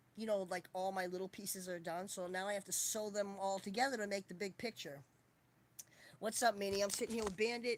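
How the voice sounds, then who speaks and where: A woman's medium-pitched voice at a fairly quick pace with fairly even intonation. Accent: Boston. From Boston, US. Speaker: livestreamer. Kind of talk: casual chat.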